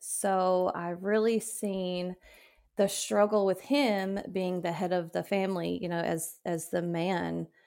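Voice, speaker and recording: At a very slow pace, a woman with a Southern US accent speaks at medium pitch with fairly even intonation. The recording is very clean, with a silent background. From West Tennessee. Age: 30s. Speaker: widow sharing grief story. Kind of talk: personal testimony interview.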